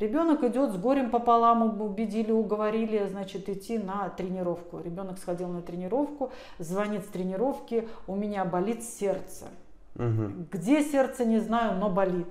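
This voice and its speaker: A woman's medium-pitched voice at a moderate pace, with ordinary pitch variation, audible room echo and noticeable background noise. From Russia, Tver. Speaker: pediatrician. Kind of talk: interview. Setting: office.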